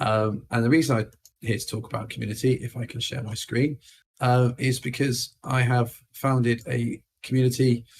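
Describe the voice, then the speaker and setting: Somewhat breathy, a man speaks at a medium pitch. His intonation is flat and monotone. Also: moderate pace. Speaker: information security speaker. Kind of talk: conference talk. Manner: hesitant, many fillers.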